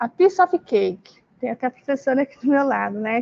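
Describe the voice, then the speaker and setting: In a dry, close recording with no echo, a woman speaks at a high pitch. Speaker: teacher trainer. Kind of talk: online training presentation. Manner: halting.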